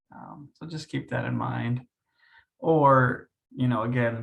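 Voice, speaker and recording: Soft-spoken and somewhat breathy, a man talks at a medium pitch. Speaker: facilitator trainer. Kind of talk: training session discussion.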